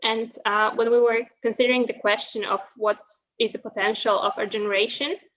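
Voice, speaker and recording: Her Polish accent clear, a woman speaks at a moderate pace with fairly even intonation. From Poland. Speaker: university student. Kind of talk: prepared presentation. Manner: hesitant, many fillers.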